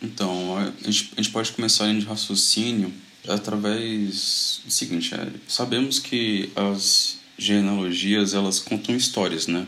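The pace is very slow, with very even loudness and fairly even intonation. Noticeable background noise runs underneath. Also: man, fairly low pitch for a man. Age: 20s. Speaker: Bible study leader, medical student. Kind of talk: casual Bible study discussion. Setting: video call.

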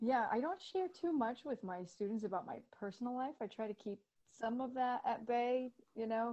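A woman talks at a moderate pace with a high pitch. Her intonation is lively. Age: 30s. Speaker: photographer and high school Italian teacher. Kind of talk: casual chat. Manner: animated.

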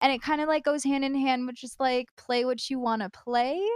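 With an American accent, a woman talks at a fairly quick pace with ordinary pitch variation. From United States. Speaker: streamer. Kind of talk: casual chat. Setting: live stream with chat.

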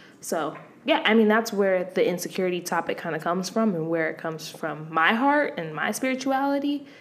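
The voice moves at a fairly quick pace with hardly any pauses and very wide pitch swings. Audible room echo is present. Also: woman, medium pitch for a woman. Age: 20s. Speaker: podcast co-host. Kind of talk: casual chat.

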